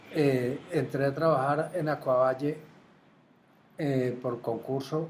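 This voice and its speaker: A somewhat breathy man at fairly high pitch, very slow in pace, with fairly even intonation. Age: 70s. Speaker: retired water utility administrator. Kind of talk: interview. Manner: halting, with repetitions.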